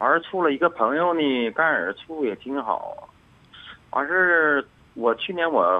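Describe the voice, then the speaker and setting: This man's voice is fairly high. He takes a fairly slow pace. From northeast China, Anshan. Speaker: radio call-in listener. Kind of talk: casual chat. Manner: halting.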